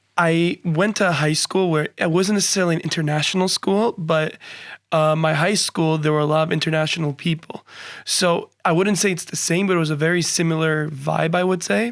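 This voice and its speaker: In a New Jersey accent, a man talks fairly quickly in a high voice, with fairly even intonation and very even loudness. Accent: American English (New Jersey). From New Jersey, US. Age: 20s. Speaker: university student. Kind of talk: podcast interview.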